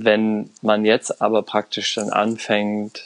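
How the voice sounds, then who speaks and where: Here a man talks at a very slow pace and a fairly low pitch. The sound is dry and close with no echo, and the background is quiet. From Germany. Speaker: Iran studies expert and intercultural consultant. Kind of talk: podcast interview. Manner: hesitant, many fillers.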